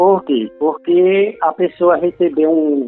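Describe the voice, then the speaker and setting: A man with a high pitch talks at a very slow pace, using ordinary pitch variation. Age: 50s. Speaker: heart transplant patient. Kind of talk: testimony.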